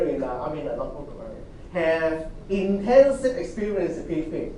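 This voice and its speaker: Audible room echo and noticeable background noise fill the clip. The delivery is moderate in pace, with ordinary pitch variation. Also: man. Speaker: university lecturer. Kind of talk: lecture.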